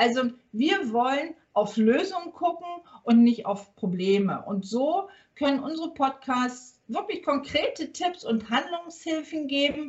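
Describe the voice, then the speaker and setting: A woman speaks at a fairly slow pace in a high pitch, her voice swinging very widely in pitch. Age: 50s. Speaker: workplace health consultant and business owner. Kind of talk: podcast interview. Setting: remote recording from a hotel.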